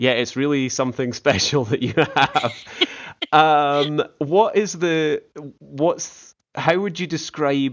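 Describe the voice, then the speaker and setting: A man with a Scottish accent talks at a very slow pace and fairly high pitch, with ordinary pitch variation. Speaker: podcast host. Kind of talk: casual interview. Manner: halting, many restarts.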